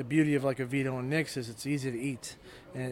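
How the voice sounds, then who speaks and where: With a Chicago accent, a man talks at a very fast pace and fairly high pitch, keeping his intonation fairly even. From Chicago south suburbs. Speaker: restaurant owner and baker. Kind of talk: interview. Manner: halting.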